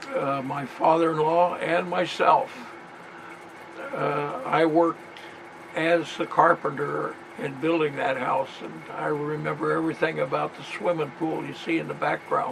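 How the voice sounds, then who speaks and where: Over noticeable background noise, a man speaks at a fairly high pitch with ordinary pitch variation and big swings in loudness. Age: 80s+. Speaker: military veteran. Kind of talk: reminiscing narration over family photos.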